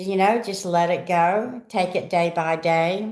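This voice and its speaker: A woman with a medium pitch talks very slowly, keeping her intonation fairly even. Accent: Southern US. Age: 60s. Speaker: vlogger. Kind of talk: casual chat. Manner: rambling, conversational.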